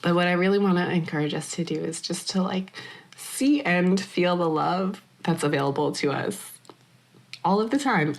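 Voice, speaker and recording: In a put-on character voice, raspy and with lively intonation, the speaker moves at a moderate pace. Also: woman, fairly low pitch for a woman. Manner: earnest, encouraging.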